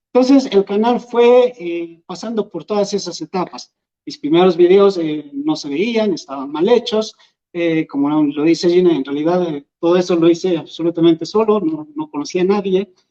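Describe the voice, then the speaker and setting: The speaker has an Andean accent. The intonation is lively and the pace moderate. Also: man, high pitch for a man. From Peru, Huancavelica. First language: Quechua (speaking Spanish). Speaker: YouTuber and Quechua teacher. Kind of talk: public talk. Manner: hesitant, many fillers.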